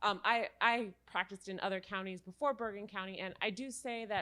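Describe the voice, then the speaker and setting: Loud and fairly quick, a woman speaks at a medium pitch in a bright, sharp tone with monotone, flat intonation. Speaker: legal aid attorney. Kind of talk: panel discussion.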